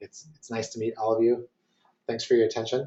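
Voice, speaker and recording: A man's somewhat breathy voice holds a fairly even intonation. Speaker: marketing consultant. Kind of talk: webinar presentation. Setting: online webinar. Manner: fast; hesitant, many fillers.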